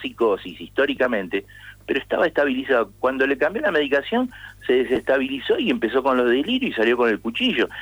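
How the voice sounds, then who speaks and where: With lively intonation, a man speaks at a fairly high pitch and a fairly quick pace. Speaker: psychologist, co-author of a mental health law. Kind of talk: radio interview. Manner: halting, frequent word repetitions.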